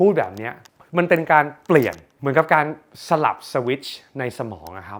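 Energetic and lively in intonation, a man speaks at a fairly high pitch with vocal fry. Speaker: self-help content creator and businessman. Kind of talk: motivational talk.

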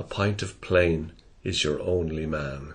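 This voice comes with an Irish Midlands accent and sounds somewhat breathy. The pace is very slow. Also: man. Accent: Irish Midlands accent, flat. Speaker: poetry reader. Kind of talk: reading aloud.

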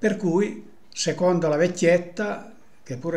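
The speaker is a man who talks at a very slow pace. Ordinary pitch variation runs through his speech. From Apulia, Italy. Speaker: storyteller of local sayings. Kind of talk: folk tradition storytelling. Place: home room. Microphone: webcam.

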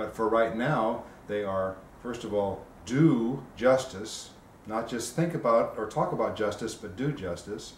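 Against light background noise and audible room echo, a man speaks at a fairly slow pace. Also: ordinary pitch variation. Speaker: simple living activist and podcaster. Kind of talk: interview. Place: home room. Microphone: camera far.

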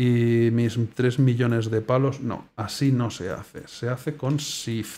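A man's dark, mellow tone at a very slow pace, with fairly even intonation. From Spain. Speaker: gaming YouTuber. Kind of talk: gameplay commentary. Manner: casual, hesitant.

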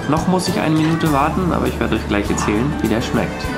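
A man talks over loud music playing in the background. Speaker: travel vlogger. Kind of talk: casual vlog chat. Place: cafe. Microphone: phone near.

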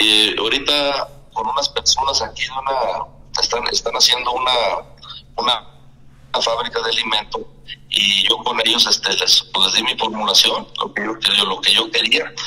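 A man talks at a moderate pace while noticeable background noise is present. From Mexico, Durango. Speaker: gamecock breeder. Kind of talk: interview.

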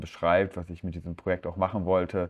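In a very deep, low voice, a man talks with monotone, flat intonation. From Ruhr area, Germany (Herne). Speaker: photographer. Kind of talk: lecture. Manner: hesitant, many filler sounds.

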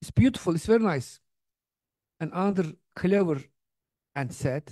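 Against a quiet background, a man with a Turkish accent speaks at a moderate pace in a dark, mellow tone, his high pitch moving in very wide swings. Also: dry sound with no echo. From Turkey. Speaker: theology professor and speaker; theology professor, speaker. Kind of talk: lecture. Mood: warm, animated storytelling. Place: hall. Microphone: handheld.

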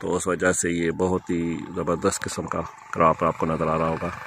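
A man talks at a fairly slow pace with a bright, sharp tone. The sound is dry, with no echo. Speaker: travel vlogger. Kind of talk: casual vlog commentary. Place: car. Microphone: phone near.

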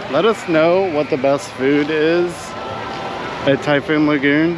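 A man talks at a fairly slow pace. The sound is dry with no echo, but background noise is noticeable. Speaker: vlogger. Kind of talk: casual vlog chat. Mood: cheerful, relaxed. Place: street. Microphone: phone near.

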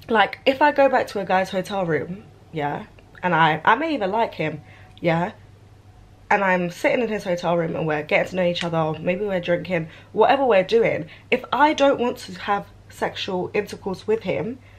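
The speech runs at a moderate pace with lively intonation. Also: woman. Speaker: vlogger. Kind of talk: casual vlog rant. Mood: irritated, indignant. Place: home room. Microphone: phone near.

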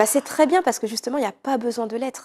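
A woman speaks with ordinary pitch variation. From Paris region, France (Villeneuve-le-Roi), of French Guianese parents; Paris region, France. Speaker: art therapist and personal development coach; personal development coach. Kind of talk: interview. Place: studio. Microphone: lapel.

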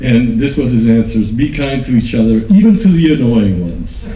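A man speaks with lively intonation. Audible room echo surrounds his voice. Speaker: conference speaker on online community; conference speaker. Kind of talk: conference talk. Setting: stage with audience. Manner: enthusiastic. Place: hall. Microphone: podium.

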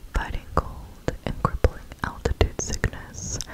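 Soft-spoken, a woman is whispering. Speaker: ASMR creator. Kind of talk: soft-spoken storytelling narration. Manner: soft close-mic ASMR whisper. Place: home room. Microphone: studio mic.

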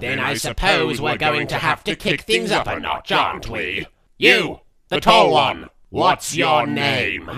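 Doing a put-on character voice, a man sounds raspy and fairly high-pitched, speaking at a fairly slow pace with lively intonation. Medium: fan dub. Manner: menacing, sarcastic.

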